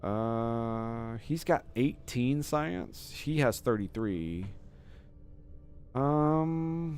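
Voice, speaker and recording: Over music in the background, a man of medium pitch speaks at a very slow pace with lively intonation. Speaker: video game streamer. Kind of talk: gameplay commentary. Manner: casual, with fillers.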